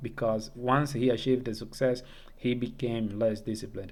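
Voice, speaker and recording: In a room with audible echo, a man speaks with a non-native accent. His pitch is medium and his pace moderate. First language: not English. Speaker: self-improvement YouTuber. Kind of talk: casual monologue tutorial. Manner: halting, with fillers and false starts.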